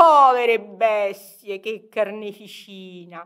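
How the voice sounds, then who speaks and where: Bright and sharp in tone, a woman speaks at a very slow pace. The recording is very clean, with a silent background. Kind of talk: poetry reading.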